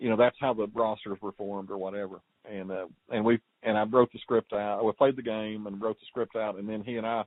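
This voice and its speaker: A man talks at a fairly quick pace with flat, monotone intonation. His loudness swings widely. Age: 60s. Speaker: podcast host, former sports writer. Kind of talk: casual interview. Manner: halting, many fillers and repeats.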